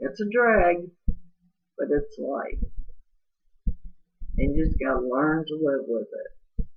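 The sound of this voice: A woman's slow, raspy delivery at a low pitch, with a slightly husky edge and lively intonation.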